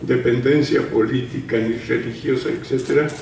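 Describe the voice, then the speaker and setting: There is noticeable background noise and audible room echo as a man speaks at a fairly high pitch with fairly even intonation. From Mexico, Guadalajara, Jalisco. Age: 80s+. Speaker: retired painter, historian speaker. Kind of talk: panel talk.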